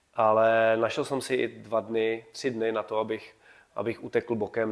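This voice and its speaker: Speaking at a moderate pace, a man with a medium-pitched voice keeps a monotone, flat intonation. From Czechia, Kutná Hora. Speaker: running coach and teacher. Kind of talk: casual interview.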